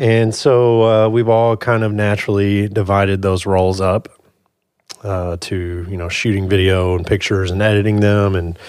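A man speaks in a fairly low voice at a moderate pace. His intonation stays fairly even. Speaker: media company co-worker. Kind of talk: casual chat.

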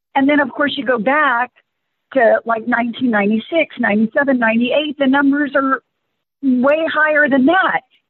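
Very slow and very even in loudness, a woman speaks at a high pitch with ordinary pitch variation. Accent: American. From Rio Grande Valley, South Texas. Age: 50s. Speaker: nature center executive director. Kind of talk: interview.

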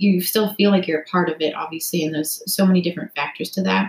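A woman speaks at a fairly quick pace in a plain, everyday voice, her medium pitch showing ordinary variation. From Canada, Toronto area. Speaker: former college swimmer and brain injury researcher. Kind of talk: casual interview.

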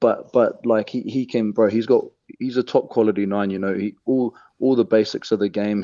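A man speaks with a New Zealand accent at a fairly quick pace, his pitch fairly low and his tone dark and mellow. The intonation stays fairly even, and the sound is dry and close with no echo over a quiet background. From New Zealand, Hamilton (Waikato). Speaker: professional rugby player. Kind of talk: radio interview, casual.

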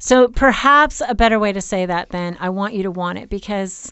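In a plain, everyday voice, a woman speaks at a moderate pace, her pitch medium and her pitch variation ordinary. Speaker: sex therapist and podcast host. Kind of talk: casual chat.

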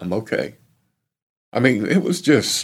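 A man with an American accent speaks at a medium pitch. His voice has vocal fry and very wide pitch swings. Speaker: bereaved father and former NASCAR crew chief. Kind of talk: tearful eulogy-like testimony about his late son. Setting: recorded interview. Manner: halting, choked with grief; raw, sincere, slow and emotional.

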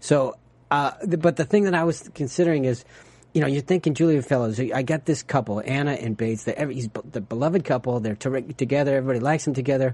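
Talking at a very fast pace, a man uses a fairly high pitch with ordinary variation. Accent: American. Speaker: TV after-show host. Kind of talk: casual chat. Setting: studio. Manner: halting.

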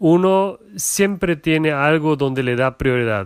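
A man's fairly high voice in a Portuguese accent, at a very slow pace. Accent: non-native Spanish, Portuguese. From Germany, Portuguese parents. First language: German or Portuguese (speaking Spanish). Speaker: entrepreneur's husband, corporate employee. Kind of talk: casual interview. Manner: halting.

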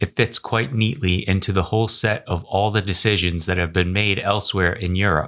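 In a very clean recording with a silent background, a man has an unremarkable speaking voice at a fairly low pitch with ordinary pitch variation. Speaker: news podcast co-host. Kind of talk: formal newsreading, scripted headline summaries. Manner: formal, even, measured.

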